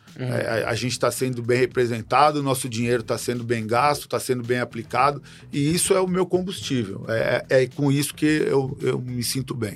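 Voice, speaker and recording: A man speaks at a fairly quick pace over music in the background. His medium-pitched voice has ordinary pitch variation and hardly any pauses. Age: old. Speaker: samba school president and businessman. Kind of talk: interview conversation. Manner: halting, with repetitions.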